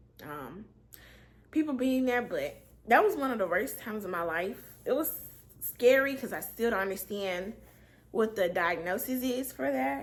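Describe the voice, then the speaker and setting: Her fairly high voice shows vocal fry and very wide pitch swings as the woman moves at a moderate pace, broken by long, frequent pauses. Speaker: storyteller vlogger. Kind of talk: storytime monologue. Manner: casual, with many fillers.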